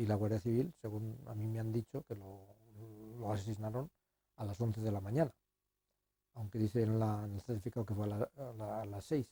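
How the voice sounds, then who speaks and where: A man speaks at a fairly quick pace with long, frequent pauses, fairly even intonation, and a fairly low pitch. His tone is dark, mellow and somewhat breathy, with a dry, close sound and no echo. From Spain, Guadalajara province (Salmerón). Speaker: son of executed civil war victim. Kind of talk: interview testimony. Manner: halting, with repetitions.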